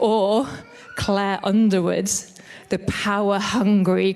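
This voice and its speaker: Speaking with a northern English accent, a woman has a medium-pitched voice and fairly even intonation. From northern England. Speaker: church leader. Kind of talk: sermon.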